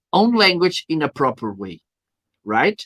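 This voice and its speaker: A man with a Portuguese accent and a high pitch, recorded with a dry, close sound and no echo. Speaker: live streaming marketer, show host. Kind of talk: live stream interview.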